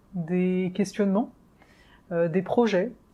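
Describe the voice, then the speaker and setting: Over a quiet background, a woman speaks at a moderate pace in a dark, mellow tone with fairly even intonation. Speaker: astrologer. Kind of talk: astrology forecast video. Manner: hesitant fillers.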